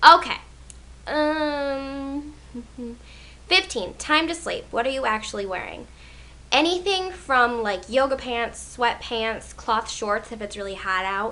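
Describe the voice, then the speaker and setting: The voice is raised and projected, with lively intonation. Long pauses come often. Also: woman, high pitch for a woman, fairly slow pace. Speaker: beauty vlogger. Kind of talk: casual vlog tag video. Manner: chatty with many fillers.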